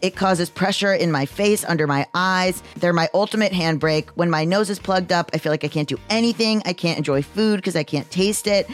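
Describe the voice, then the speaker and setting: Music plays in the background as the voice moves at a fairly quick pace with hardly any pauses. Loudness stays very even, and pitch varies in an ordinary way. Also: woman, fairly low pitch for a woman. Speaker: podcast host. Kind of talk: ad read.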